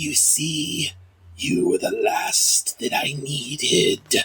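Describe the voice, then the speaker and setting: Using a put-on character voice, a man talks in a raspy tone at a very slow pace. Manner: menacing, gloating.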